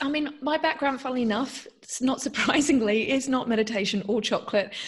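Someone with an Australian accent speaks at a fairly quick pace with ordinary pitch variation. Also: woman. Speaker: mindful eating guide and meditation teacher. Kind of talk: podcast interview.

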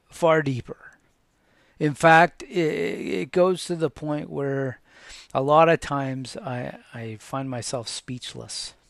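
Spoken very slowly in a calm tone, the voice shows big swings in loudness and ordinary pitch variation, with a dry, close sound and no echo. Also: man, fairly high pitch for a man. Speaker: podcast host sharing faith and transplant story. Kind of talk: personal testimony monologue. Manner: halting, many fillers and repeats.

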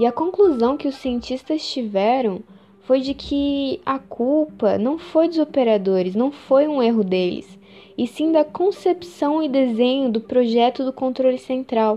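A woman's high-pitched voice with lively intonation, at a fairly slow pace over noticeable background noise. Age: 20s. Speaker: podcast host. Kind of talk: scripted narration.

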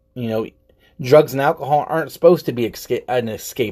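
A man talks at a medium pitch, with ordinary pitch variation. It is a very clean recording against a silent background. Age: 30s. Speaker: podcaster. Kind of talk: personal monologue. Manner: halting.

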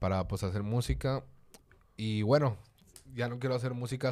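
A man with a normal speaking voice uses ordinary pitch variation. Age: 20s. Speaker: rapper. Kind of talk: casual chat.

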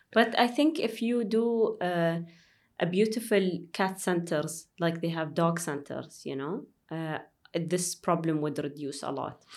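On a very clean recording with a silent background, a woman with an Arabic accent speaks at a fairly slow pace, fairly low in pitch, with ordinary pitch variation. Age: 30s. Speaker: airline pilot. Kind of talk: interview conversation.

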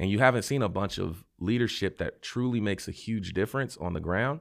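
An ordinary speaking voice from a man with an American accent, lively intonation and a fairly quick pace. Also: very clean recording, silent background. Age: 30s. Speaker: city council member running for mayor. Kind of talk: interview.

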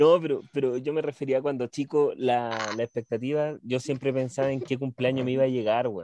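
A man's medium-pitched voice, dark and mellow in tone, at a moderate pace with hardly any pauses, dry and close with no echo. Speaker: podcast host. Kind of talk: casual chat. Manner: animated.

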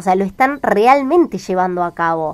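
Here is a woman with an unremarkable speaking voice and lively intonation, at a moderate pace. The recording is very clean, with a silent background. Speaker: radio host. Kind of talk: casual chat.

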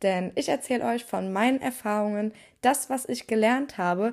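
Ordinary pitch variation and a moderate pace mark this woman's fairly high, plain, everyday voice. The recording is very clean, with a silent background. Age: 20s. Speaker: podcast host and psychology student. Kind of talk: solo podcast monologue.

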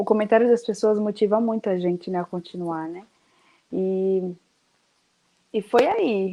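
A woman speaks at a fairly slow pace in a medium pitch with a dark, mellow tone. Her pitch varies in an ordinary way, and the background is quiet. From Brazil, Bahia. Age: young. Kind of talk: casual interview chat.

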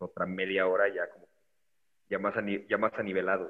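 A man at a fairly quick pace. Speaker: podcaster. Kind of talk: casual chat. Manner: talkative.

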